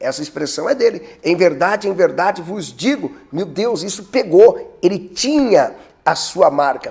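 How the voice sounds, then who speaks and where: A man's high, animated voice, fairly slow, with lively intonation and big swings in loudness. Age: 30s. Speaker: pastor. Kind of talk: preaching tutorial.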